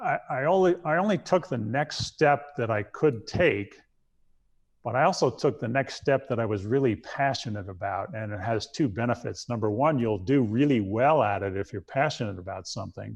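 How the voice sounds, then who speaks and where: With an American accent, a man speaks at a moderate pace and medium pitch with lively intonation against a quiet background. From New York. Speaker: former astronaut, naval aviator. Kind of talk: interview answer. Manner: soft-spoken.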